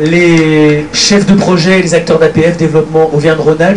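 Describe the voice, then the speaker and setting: Noticeable background noise and audible room echo surround a man speaking at a fairly quick pace, fairly high in pitch with fairly even intonation. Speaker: association official giving thanks at general assembly. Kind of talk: formal thank-you speech. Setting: stage at assembly with audience, livestreamed. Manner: fast.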